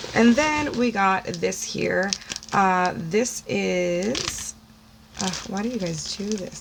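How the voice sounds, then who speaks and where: Noticeable background noise sits under the recording. Through it, a woman talks with an American accent. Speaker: beauty YouTuber. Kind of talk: unboxing video, casual chat. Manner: long-winded, breathy speech.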